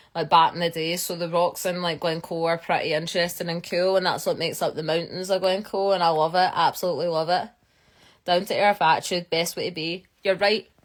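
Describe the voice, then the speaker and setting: A woman's fairly low voice at a fairly quick pace, with a Scottish accent, on a very clean recording with a silent background. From Scotland. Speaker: geologist. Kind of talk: live stream chat. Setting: live stream. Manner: fast; animated.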